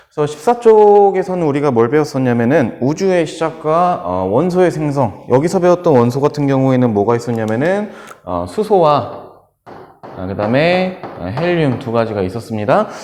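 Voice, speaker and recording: A man's voice with very wide pitch swings, audible room echo and noticeable background noise. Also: fairly high pitch for a man, moderate pace. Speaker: school science teacher. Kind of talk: lecture. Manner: hesitant fillers.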